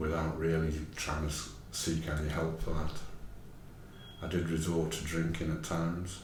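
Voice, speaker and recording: Over noticeable background noise and audible room echo, a man speaks at a moderate pace in a very deep, low pitch with monotone, flat intonation. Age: 60s. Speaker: mental health service user and peer support worker. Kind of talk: personal testimony. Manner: halting.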